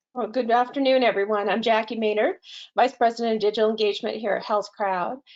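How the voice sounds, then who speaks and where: Speech races along very fast. Its intonation is fairly even. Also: woman, fairly high pitch for a woman. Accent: slight Boston. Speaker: healthcare technology executive. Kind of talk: webinar presentation. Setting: online webinar.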